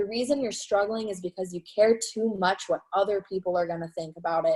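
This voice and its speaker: At a fairly quick pace, a woman speaks in an energetic, enthusiastic tone at medium pitch with ordinary pitch variation, in a dry, close sound with no echo. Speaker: network marketing team leader. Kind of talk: live training webinar.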